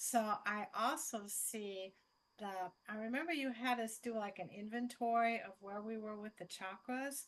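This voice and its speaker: This woman has a plain, everyday voice with a fairly high pitch. She talks at a moderate pace with ordinary pitch variation. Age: 60s. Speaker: yoga teacher and program graduate. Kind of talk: question on video call.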